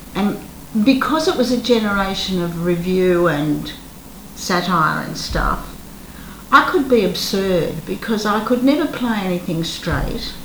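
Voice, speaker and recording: Someone with an Australian accent speaks at a fairly slow pace with lively intonation, over noticeable background noise and audible room echo. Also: woman, medium pitch for a woman. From Australia, Melbourne. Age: 70s. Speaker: retired actress. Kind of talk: interview.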